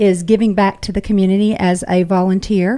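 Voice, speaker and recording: A woman with a Georgia accent. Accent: Southern American, Georgia. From US South, Carrollton, Georgia. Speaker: parade director, university administrator. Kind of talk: radio interview.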